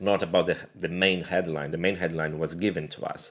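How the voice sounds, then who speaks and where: The speaker has a Portuguese accent and a fairly quick pace. The intonation stays fairly even. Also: man. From Brazil. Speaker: graphic designer. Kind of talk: casual chat. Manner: halting, with frequent repetitions.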